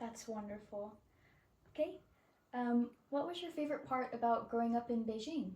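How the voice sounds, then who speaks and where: A woman speaks with a high pitch and ordinary pitch variation. Her speech has long, frequent pauses over noticeable background noise. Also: moderate pace. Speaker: college student interviewer. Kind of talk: interview questions.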